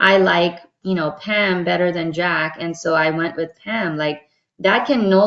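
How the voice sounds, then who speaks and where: Her intonation is monotone and flat. The woman's pitch sits in the medium range. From born in Dubai, Pakistani American. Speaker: diversity consultant. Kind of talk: workshop talk answering a question. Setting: video call webinar. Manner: conversational with frequent fillers.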